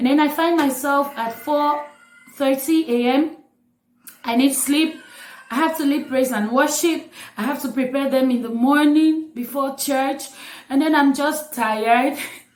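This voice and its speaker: Audible room echo surrounds a woman speaking at a high pitch and a fairly slow pace with fairly even intonation. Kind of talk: casual vlog talk.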